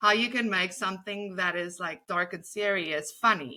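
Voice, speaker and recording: With a South African accent and a bright, sharp tone, a woman talks at a moderate pace on a very clean recording with a silent background. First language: Afrikaans. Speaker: comedy writer. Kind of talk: interview. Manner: animated.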